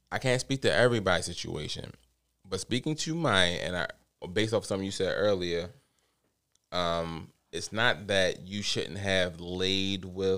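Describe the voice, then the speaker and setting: With an American accent, a man talks at a fairly low pitch with ordinary pitch variation. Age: 30s. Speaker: father. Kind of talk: casual chat.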